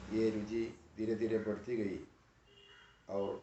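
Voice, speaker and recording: This man speaks with a Malayalam accent. His voice sits fairly low, with monotone, flat intonation. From Kerala, India. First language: Malayalam (speaking Hindi). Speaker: professor. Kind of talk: lecture. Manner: formal.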